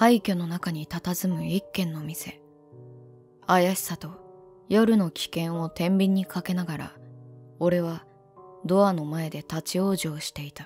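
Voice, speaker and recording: Music plays in the background as the speaker talks at a very slow pace. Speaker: virtual YouTuber. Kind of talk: first-person narration.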